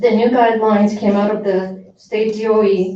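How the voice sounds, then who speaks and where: With audible room echo, a woman speaks at a moderate pace and medium pitch in monotone, flat intonation. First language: not English. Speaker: parent speaking at public comment. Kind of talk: public comment at school board meeting. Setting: school board meeting. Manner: formal.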